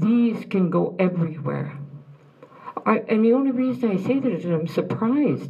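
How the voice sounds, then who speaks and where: With audible room echo and noticeable background noise, a woman speaks at a moderate pace and medium pitch, using very wide pitch swings while her loudness stays very even. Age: old. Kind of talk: speech to an audience. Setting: room with audience after film screening.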